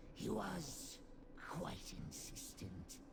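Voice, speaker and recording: A man whispering in a put-on character voice over loud background noise. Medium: video game. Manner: servile, keeps saying Master.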